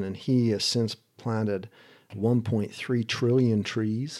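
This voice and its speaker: On a very clean recording with a silent background, a man speaks very slowly at a fairly low pitch, his intonation monotone and flat. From US, moved around (New York, Utah, California, Idaho). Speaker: sustainability advocate and futurist. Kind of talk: interview conversation.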